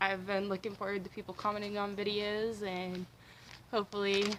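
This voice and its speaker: Bright and sharp in tone, a woman speaks at medium pitch and a fairly quick pace. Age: 20s. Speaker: booktuber. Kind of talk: casual vlog monologue. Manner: fast.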